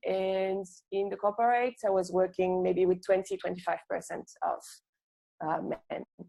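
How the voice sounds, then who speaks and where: A woman's dark, mellow tone carries a monotone, flat intonation. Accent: French. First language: French. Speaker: UX designer and entrepreneur. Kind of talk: online workshop talk. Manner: hesitant, many fillers.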